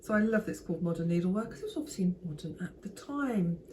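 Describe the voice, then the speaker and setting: A woman's voice with noticeable background noise. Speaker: sewing and vintage fashion vlogger. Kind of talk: show-and-tell talk to camera. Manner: casual, hesitant with fillers.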